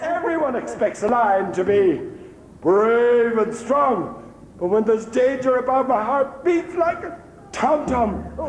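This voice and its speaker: A man puts on a character voice with an extremely high pitch, speaking at a fairly slow pace. Clear background noise and a clear echo fill the recording. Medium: stage play.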